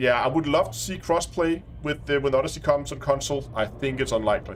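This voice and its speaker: A man with a strong Danish accent talks at a very fast pace amid noticeable background noise. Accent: thick Danish. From Denmark. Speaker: gaming streamer. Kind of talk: live stream commentary. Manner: halting.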